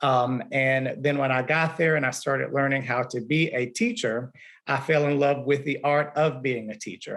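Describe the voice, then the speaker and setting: A man talks in a fairly high voice with fairly even intonation. The background is quiet. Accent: Southern US. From Alabama. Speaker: music teacher. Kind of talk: panel discussion.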